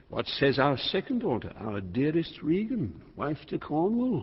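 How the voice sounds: Putting on a character voice, a man speaks at a fairly slow pace and fairly high pitch, swinging very widely in pitch.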